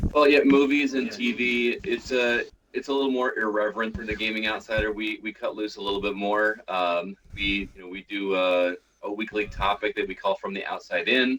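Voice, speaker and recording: Speaking at a moderate pace in an American accent, a man with a fairly low pitch and ordinary pitch variation has an unremarkable speaking voice. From US Midwest, Illinois. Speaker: podcast host. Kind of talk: casual chat.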